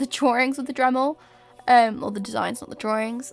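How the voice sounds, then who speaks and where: With a British accent, a woman talks in a high, flat monotone while music plays in the background. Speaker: cosplay maker. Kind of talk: tutorial narration. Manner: casual, hesitant with fillers.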